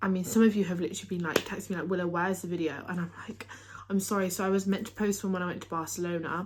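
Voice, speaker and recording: Over noticeable background noise, a woman speaks very fast at medium pitch with fairly even intonation. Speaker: tennis player and vlogger. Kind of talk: casual vlog talk to camera. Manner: occasional stumbles and filler words.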